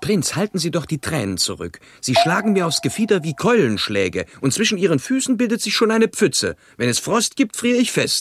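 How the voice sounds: In a put-on character voice, a man speaks at a fairly high pitch with a fairly bright tone and very wide pitch swings. His moderate pace has few pauses, and the sound is dry and close with no echo.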